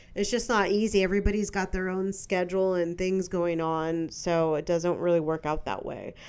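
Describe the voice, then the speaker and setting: A woman of medium pitch speaks at a moderate pace. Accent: American. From San Francisco, California. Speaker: podcast host. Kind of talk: casual solo monologue.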